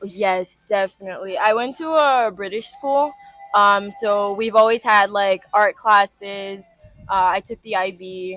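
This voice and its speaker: Fairly slow female speech, music playing in the background. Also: medium pitch for a woman, ordinary pitch variation. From Rio de Janeiro, Brazil. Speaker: industrial design student. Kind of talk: interview answer. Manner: casual, hesitant.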